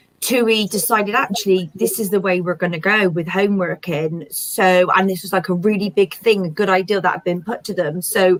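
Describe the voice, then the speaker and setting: A woman is speaking. She has a Bristol accent. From Bristol, south-west England. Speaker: small business owner. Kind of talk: interview.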